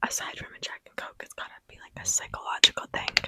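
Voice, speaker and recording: A woman whispering amid noticeable background noise, dry and close with no echo. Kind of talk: ASMR whispered ramble to camera. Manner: casual, chatty, rambling.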